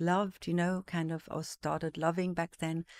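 A woman's fairly low, monotone voice with flat intonation, against a quiet background. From various African countries, Zimbabwe-born, Swiss parents. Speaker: art market executive. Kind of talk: casual interview. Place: studio. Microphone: studio mic.

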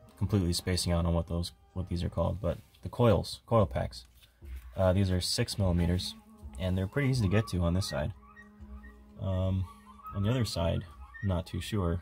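Faint music plays behind a man with a very deep, low pitch who speaks at a moderate pace. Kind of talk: casual tutorial narration. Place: garage. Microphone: phone near.

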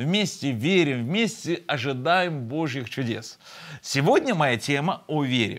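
There is a quiet background as a man talks very slowly. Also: lively intonation. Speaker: pastor hosting online broadcast. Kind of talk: sermon. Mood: warm, smiling, friendly. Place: studio. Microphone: lapel.

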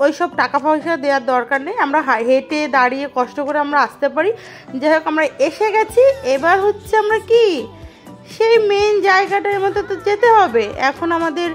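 A woman's extremely high-pitched voice with faint music in the background. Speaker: travel vlogger. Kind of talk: casual vlog chat. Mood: nervous but cheerful. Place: station. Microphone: phone near.

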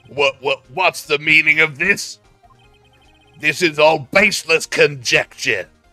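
A man's raspy, put-on character voice, fairly high-pitched for a man, at a fairly slow pace with very even loudness, a dry, close sound with no echo, and faint music in the background. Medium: fan dub. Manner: dismissive.

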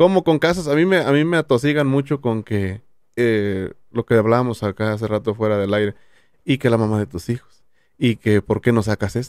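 Lively intonation marks this man's voice, delivered at a moderate pace in a dry sound with no echo against a quiet background. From Jalisco, Mexico (Tamazula); Jalisco, Mexico. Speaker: YouTuber; podcast guest. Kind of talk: casual chat. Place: studio. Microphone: studio mic.

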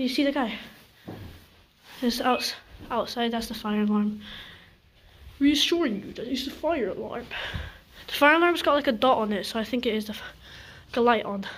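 A woman talks at a fairly quick pace. Her voice is high-pitched, with ordinary pitch variation. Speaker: urban explorer vlogger. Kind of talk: casual vlog chat. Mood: nervous, excited. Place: empty room. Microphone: phone near.

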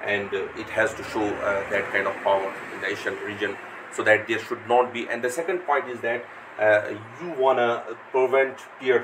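His speech moves at a moderate speed, and his pitch rises and falls in a normal way. This man is heard against noticeable noise in the background. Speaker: lecturer. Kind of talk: lecture. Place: home room.

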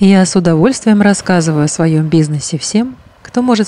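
Fairly low in pitch, a woman speaks in a plain, everyday voice at a moderate pace with ordinary pitch variation. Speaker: hypnologist. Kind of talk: guided meditation. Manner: calm, soothing.

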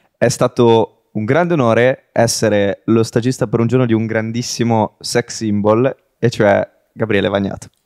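A man with an unremarkable speaking voice talks at a moderate pace with very even loudness, the sound dry and close with no echo. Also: medium pitch for a man, fairly even intonation. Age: 20s. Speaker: podcast host. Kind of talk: casual interview.

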